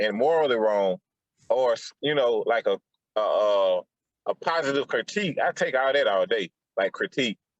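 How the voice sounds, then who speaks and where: With a Southern US accent, a man talks at a moderate pace in a dry, close sound with no echo. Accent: Southern US, country. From Atlanta. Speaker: podcaster. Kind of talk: casual chat.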